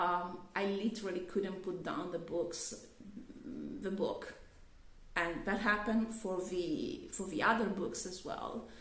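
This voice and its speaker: With noticeable background noise and audible room echo, a woman talks at a fairly slow pace in a medium pitch with ordinary pitch variation. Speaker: YouTuber. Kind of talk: casual vlog review. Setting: on camera. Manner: halting, many fillers and restarts.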